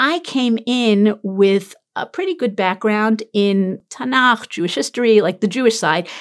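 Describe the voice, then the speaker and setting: Speaking with a New York accent, a woman uses a fairly high pitch and lively intonation. She moves at a fairly slow pace with hardly any pauses. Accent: New York American. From US, Brooklyn, New York. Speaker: tour guide and Torah teacher. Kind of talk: casual interview.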